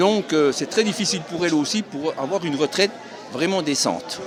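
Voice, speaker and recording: A man speaks at a moderate pace in a high voice with ordinary pitch variation. Crowd noise and audible room echo sit behind him. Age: 70s. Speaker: retiree at a protest. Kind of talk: street interview.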